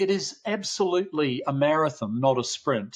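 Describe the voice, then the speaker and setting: A man speaks in an Australian accent at a fairly high pitch. His pace is fairly slow and his intonation lively. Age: 70s. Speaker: parenting researcher, professor. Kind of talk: podcast interview.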